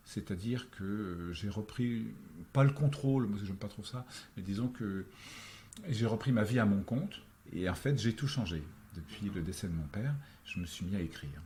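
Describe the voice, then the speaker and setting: A man speaks at a moderate pace in a dark, mellow, somewhat breathy voice of fairly low pitch, with lively intonation and long, frequent pauses. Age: 60s. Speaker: actor, screenwriter and novelist. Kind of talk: interview conversation. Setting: face-to-face on Paris boulevards. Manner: hesitant, many fillers.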